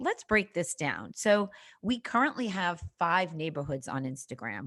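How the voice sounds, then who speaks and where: Recorded very cleanly against a silent background, a woman with a slight Boston accent talks at a fairly quick pace with lively intonation. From Boston, Massachusetts. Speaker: social media marketing coach. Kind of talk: podcast interview.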